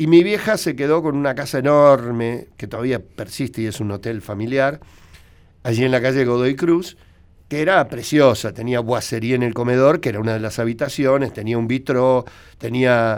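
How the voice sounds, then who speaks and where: A man with a normal speaking voice, medium pitch, ordinary pitch variation, and a moderate pace. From Argentina, Buenos Aires. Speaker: veterinarian and radio commentator. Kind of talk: radio interview, storytelling.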